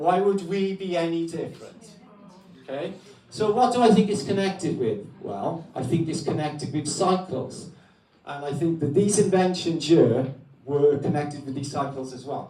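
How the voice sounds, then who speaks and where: With a Welsh accent, a man speaks at a moderate pace in a fairly high voice with lively intonation. His loudness swings a lot, and the room echo is audible. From Wales. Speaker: guest speaker on alternative history. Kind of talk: talk to an audience. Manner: loud, projecting voice.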